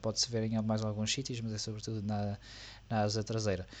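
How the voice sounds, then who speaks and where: A man's medium-pitched voice is heard over a quiet background. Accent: European Portuguese. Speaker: F1 podcast co-host. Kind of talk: casual chat.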